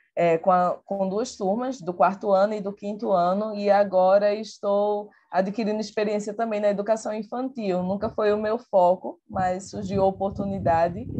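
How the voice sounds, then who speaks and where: In a Pernambuco accent, a woman talks at a moderate pace with hardly any pauses and fairly even intonation. Her medium-pitched voice has a dark, mellow tone. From Pernambuco, Brazil. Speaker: teacher and researcher. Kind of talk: online talk presentation.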